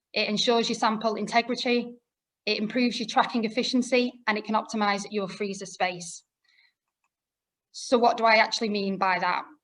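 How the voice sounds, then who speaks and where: This woman has a Lancashire accent and a fairly high pitch. She talks at a fairly quick pace with fairly even intonation. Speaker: product specialist presenter. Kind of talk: webinar presentation. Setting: online webinar.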